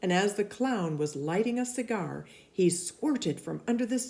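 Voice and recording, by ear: Natural-voiced reading aloud with lively intonation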